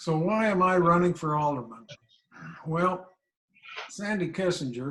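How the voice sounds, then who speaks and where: The speaker talks at a fairly slow pace. They have a Midwestern US accent. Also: man. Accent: US Midwest. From Kansas, El Dorado. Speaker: local election candidate. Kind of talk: candidate forum speech.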